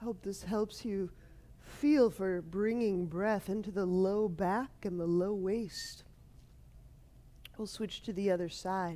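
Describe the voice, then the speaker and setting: Soft-spoken, a woman talks at a very slow pace with long, frequent pauses. Her tone is dark and mellow, and her intonation fairly even. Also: medium pitch for a woman. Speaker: yoga teacher. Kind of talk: guided yoga class.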